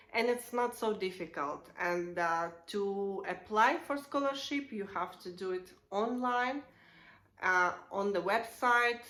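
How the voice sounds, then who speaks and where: A woman with a Russian accent speaks very slowly, with lively intonation and a bright, sharp tone. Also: medium pitch for a woman. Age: 30s. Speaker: vlogger. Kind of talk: casual explainer vlog. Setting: at home. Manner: halting, many fillers.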